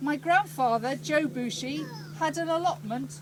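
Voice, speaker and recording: A loud woman at a high pitch, very wide pitch swings and a moderate pace, with noticeable background noise. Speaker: speaker at a village inauguration. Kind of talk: public speech.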